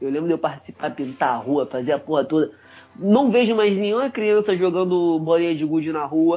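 A high-pitched man with lively intonation over music in the background. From Rio de Janeiro, Brazil. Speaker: podcast co-host. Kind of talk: casual chat.

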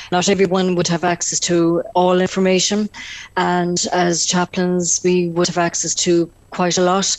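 A woman in a Tipperary accent talks at a moderate pace with a fairly low pitch. Her intonation is monotone and flat, her loudness very even. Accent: Irish (Tipperary). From Ireland, North Tipperary. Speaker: prison chaplain. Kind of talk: radio interview.

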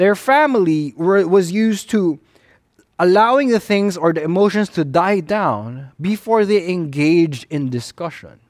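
A man's high-pitched voice with a Filipino accent, at a fairly slow pace. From Philippines. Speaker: pastor. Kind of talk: sermon.

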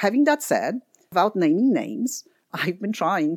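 A woman with a Polish accent speaks at a moderate pace, her pitch swinging very widely. The recording is very clean with a silent background and a dry, close sound with no echo. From Poland. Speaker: environmental economist, nonprofit head. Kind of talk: interview.

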